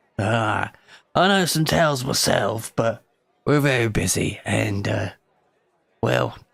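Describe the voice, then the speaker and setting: A man puts on a gruff, raspy character voice at medium pitch, with lively intonation and very even loudness. He speaks at a very slow pace with long, frequent pauses. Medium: actual play. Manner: gruff, commanding.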